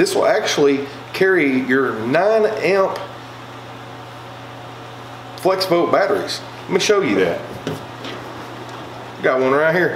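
With audible room echo, a man speaks at a slow pace with long, frequent pauses, lively intonation and a fairly high pitch.

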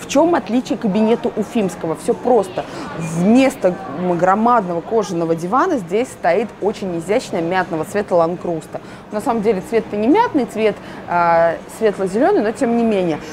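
A woman speaks at a moderate pace and medium pitch with lively intonation. Noticeable background noise is present. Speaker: interior furniture vlogger. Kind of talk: casual video store walkthrough review; casual vlog chat. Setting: furniture store showroom. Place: shop. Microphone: lapel.

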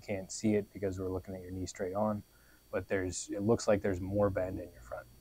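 The man speaks in an American accent at a fairly low pitch. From United States. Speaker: disc golf coach. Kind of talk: video form review. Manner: casual, hesitant with fillers.

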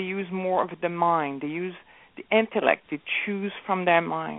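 Ordinary rises and falls in pitch from a plain, everyday voice. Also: woman. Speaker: relationship coach and author. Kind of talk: radio interview.

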